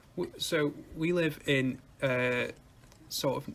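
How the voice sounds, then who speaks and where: A man with a northern English accent talks with fairly even intonation. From northwest England. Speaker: music podcast co-host. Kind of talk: casual chat.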